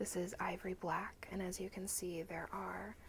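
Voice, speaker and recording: Soft-spoken and gentle in tone, a woman speaks at a very slow pace over noticeable background noise. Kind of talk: ASMR haul video to camera. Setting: close-mic ASMR recording. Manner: soft-spoken, gentle.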